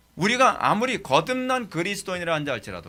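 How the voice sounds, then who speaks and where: Raised, projected male voice, bright and sharp in tone, at a very fast pace with ordinary pitch variation. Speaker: pastor teaching theology. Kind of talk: sermon lecture.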